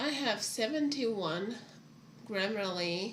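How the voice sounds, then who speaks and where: Intonation from this woman is lively. Noticeable background noise and audible room echo surround her voice. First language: not English. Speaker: writer streaming her writing. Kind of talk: casual livestream chat. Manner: halting.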